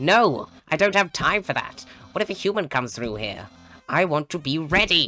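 The pitch sits in the middle range. It is a put-on character voice. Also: moderate pace. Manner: loud, theatrical, excited.

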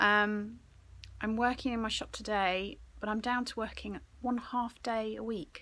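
A woman speaks at a fairly slow pace. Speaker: vintage reseller vlogger. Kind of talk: casual vlog chat. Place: shop. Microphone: phone near.

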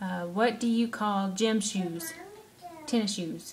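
Somewhat breathy and fairly slow, a woman talks with fairly even intonation in a Southern US accent. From Alabama. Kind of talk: casual talk to camera, word list reading. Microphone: webcam.

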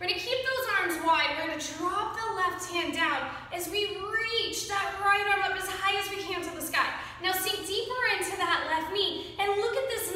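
Strong room echo surrounds a woman speaking at an extremely high pitch. She goes at a fairly slow pace over light background noise. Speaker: yoga instructor. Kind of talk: guided yoga class, giving calm, encouraging step-by-step cues timed to the breath. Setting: home video class, filmed for online viewers. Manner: warm, upbeat and encouraging, with short rhythmic cues; friendly and conversational. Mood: calm, encouraging. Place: home room. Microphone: camera far.

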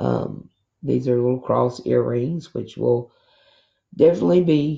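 A woman speaks at a very slow pace. The background is quiet. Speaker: crafting haul vlogger. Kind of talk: casual haul show-and-tell. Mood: pleased, enthusiastic. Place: home room. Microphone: camera far.

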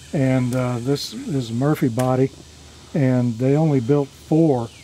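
There is light background noise as a man talks with fairly even intonation. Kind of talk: interview answer. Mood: proud, informative. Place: garden. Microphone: handheld.

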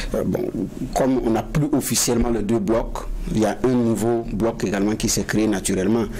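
Light noise in the background, a male voice at a medium pace. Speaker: panel journalist. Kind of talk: interview. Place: studio.

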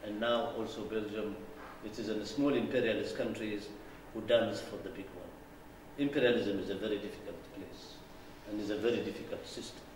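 With fairly even intonation and a fairly low pitch, a man speaks with long, frequent pauses, audible room echo and light background noise. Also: fairly quick pace. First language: not English. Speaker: political lecturer. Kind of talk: lecture. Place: hall. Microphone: podium.

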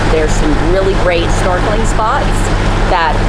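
A woman talks over loud background noise. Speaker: sailing vlogger. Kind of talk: casual vlog chat. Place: boat. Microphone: phone near.

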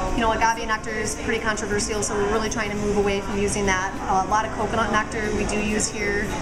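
A woman's very fast speech with hardly any pauses, over clear music in the background. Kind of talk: interview answer. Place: cafe.

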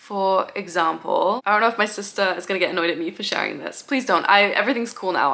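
Her medium-pitched voice, a woman's, races at a very fast pace with ordinary pitch variation. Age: 20s. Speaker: YouTuber. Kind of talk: casual chat. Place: home room.

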